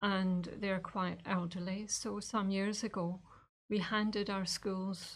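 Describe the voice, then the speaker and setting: A woman with a Scottish accent talks at a fairly slow pace, somewhat breathy. Her medium pitch holds a monotone, flat intonation. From Scotland. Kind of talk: interview. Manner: hesitant, many fillers.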